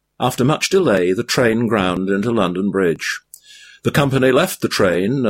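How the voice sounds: A natural reading voice carries over a quiet background.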